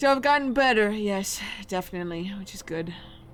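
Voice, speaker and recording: The speech moves at a moderate pace in an American accent. Noticeable background noise and audible room echo surround it. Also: woman. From US Midwest. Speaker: game streamer. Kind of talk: live game stream chat. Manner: animated.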